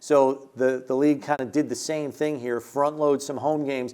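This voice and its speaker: A man with a plain, everyday voice talks at a fairly high pitch. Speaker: radio play-by-play announcer. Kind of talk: sports show analysis.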